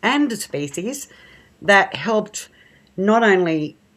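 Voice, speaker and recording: Ordinary pitch variation comes through on a very clean recording with a silent background. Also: woman. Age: 60s. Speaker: horse rescue charity founder. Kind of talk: radio interview.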